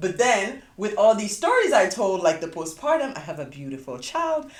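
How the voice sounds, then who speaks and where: A woman speaks with a West African accent at a moderate pace. Her pitch swings very widely. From Sierra Leone, West Africa. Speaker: podcast host. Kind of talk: casual chat.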